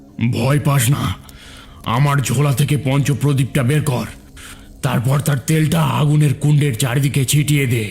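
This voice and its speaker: Over light background noise, a cartoonish character voice holds fairly even intonation and very even loudness. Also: man, medium pitch for a man, moderate pace. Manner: calm, authoritative.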